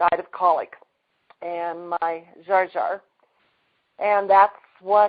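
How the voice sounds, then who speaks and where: At a very slow pace, a woman speaks at a medium pitch with monotone, flat intonation. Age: 60s. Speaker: energy healing practitioner. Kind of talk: testimony.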